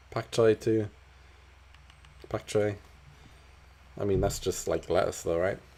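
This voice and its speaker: A man's fairly slow speech with long, frequent pauses. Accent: slight Geordie. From northern England, Newcastle. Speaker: gaming streamer. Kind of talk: casual live-stream chat. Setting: live stream.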